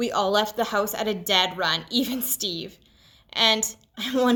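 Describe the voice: Text plainly read aloud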